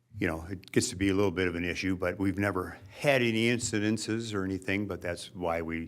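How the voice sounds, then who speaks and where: The speaker talks at a very fast pace with ordinary pitch variation. Audible room echo surrounds the voice. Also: man. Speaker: waste hauling company owner. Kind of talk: presentation to city council. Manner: casual, hesitant.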